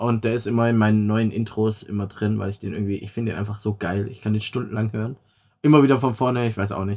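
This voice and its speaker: Very fast speech from a man with a fairly low pitch, very clean recording and silent background. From Swabia, Stuttgart area, Germany. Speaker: podcast host and streamer. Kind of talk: casual chat.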